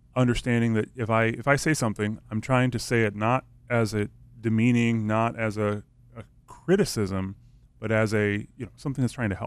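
A man speaks at a fairly quick pace in a medium pitch with fairly even intonation. His is an unremarkable speaking voice. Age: 30s. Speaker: radio station staff. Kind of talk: casual chat. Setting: studio.

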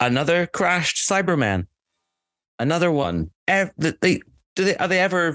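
A man with a high pitch and a bright, sharp tone speaks in a Scottish accent, his loudness very even and his pauses long and frequent. The sound is dry and close with no echo, over a quiet background. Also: ordinary pitch variation, moderate pace. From Scotland. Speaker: podcast co-host. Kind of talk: casual chat.

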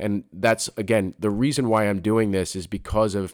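A man with an American accent speaks at a moderate pace in a fairly low voice with fairly even intonation. The recording is very clean, with a silent background. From Philadelphia. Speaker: podcast host, UX designer. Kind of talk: solo monologue podcast. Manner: halting, many fillers and restarts.

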